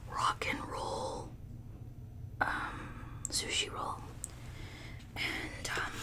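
Very slowly, a woman speaks. She is whispering. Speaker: food vlogger. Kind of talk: casual mukbang vlog chat. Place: home room. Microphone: studio mic.

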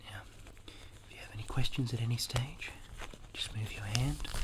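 A soft-spoken man at a moderate pace amid loud background noise. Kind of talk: soft role-play talk to the viewer. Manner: soft-spoken ASMR dentist voice. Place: home room. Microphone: phone near.

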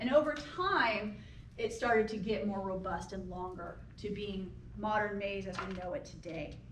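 There is audible room echo and light background noise as a woman talks at a moderate pace with ordinary pitch variation. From US Midwest, rural Illinois. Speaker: anthropology professor. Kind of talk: public lecture. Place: hall. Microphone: camera far.

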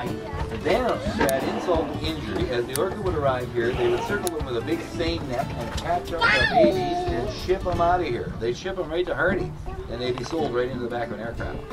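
The speaker talks at a fairly quick pace. Clear music plays in the background. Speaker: tour guide. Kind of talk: guided tour commentary. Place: boat. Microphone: camera far.

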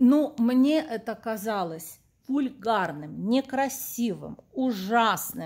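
A woman talks at a very slow pace in a fairly high pitch, her intonation lively. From Kyiv, Ukraine (Soviet era). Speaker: vlogger and accordion teacher. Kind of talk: personal vlog monologue.

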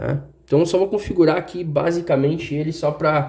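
Against a quiet background, a man speaks with a dark, mellow tone. His voice is somewhat breathy and his intonation fairly even. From Brazil. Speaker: tech YouTuber; tech reviewer. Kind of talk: unboxing review; casual product review. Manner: casual, hesitant. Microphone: phone near.

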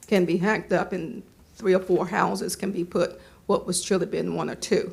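A woman speaks at a moderate pace with vocal fry and a flat, monotone intonation. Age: 70s. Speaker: resident speaking at public comment. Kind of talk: public comment at planning board meeting.

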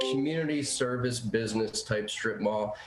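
A man speaks at a moderate pace with medium pitch and ordinary pitch variation. The recording has audible room echo and noticeable background noise. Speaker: public commenter at a planning hearing. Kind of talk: public comment at remote meeting. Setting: remote meeting call.

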